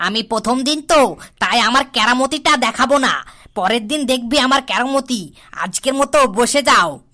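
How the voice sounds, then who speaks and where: A cartoonish, female-sounding character voice at a high pitch and moderate pace. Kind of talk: comic cartoon voice acting. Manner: bossy, frequently laughing.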